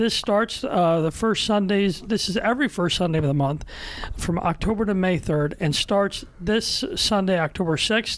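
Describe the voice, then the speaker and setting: Woman of medium pitch at a moderate pace, with ordinary pitch variation and very even loudness, over noticeable background noise. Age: 30s. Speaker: podcast host, diocesan newspaper staff writer. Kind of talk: casual podcast chat with announcements. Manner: loud, excited.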